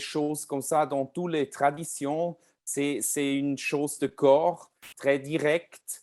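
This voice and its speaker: A man with a fairly high voice speaks very slowly in a non-native accent, on a very clean recording with a silent background. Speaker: pianist and composer. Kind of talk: lecture. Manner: halting, many hesitations.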